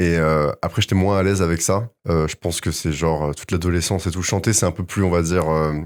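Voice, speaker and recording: Hardly pausing, a man with a very deep, low voice speaks very fast with fairly even intonation in a very clean recording with a silent background. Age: 20s. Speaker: singer-songwriter. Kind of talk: casual interview. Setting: studio. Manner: hesitant, many fillers.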